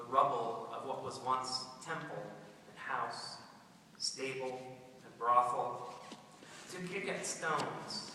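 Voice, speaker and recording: Over noticeable background noise, a man speaks very slowly in a medium pitch with ordinary pitch variation and long, frequent pauses. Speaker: poet, high school English teacher. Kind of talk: poetry reading.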